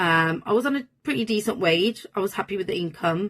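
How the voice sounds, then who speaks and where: A woman with a Birmingham accent. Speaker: manifestation coach. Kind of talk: personal storytelling monologue. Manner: casual, filler-heavy.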